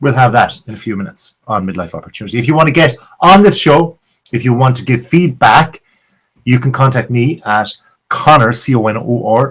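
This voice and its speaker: Fairly quick and lively in intonation, a man speaks at medium pitch with an Irish accent. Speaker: podcast host. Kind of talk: podcast monologue intro. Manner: animated.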